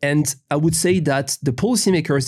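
This man has a French accent and vocal fry. His pitch variation is ordinary. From France. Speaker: law professor. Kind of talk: interview.

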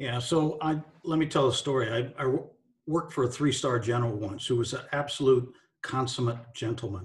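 Speaking fairly quickly in an American accent, a man uses a somewhat breathy, medium-pitched voice with ordinary pitch variation. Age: 60s. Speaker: retired army general and leadership author and speaker. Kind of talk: casual interview.

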